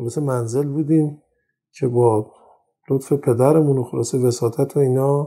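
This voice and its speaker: The recording is very clean, with a silent background. A man speaks in a somewhat breathy, monotone, flat voice. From Iran, Tehran. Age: 50s. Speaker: audio industry engineer and magazine publisher. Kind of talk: interview. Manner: halting; formal.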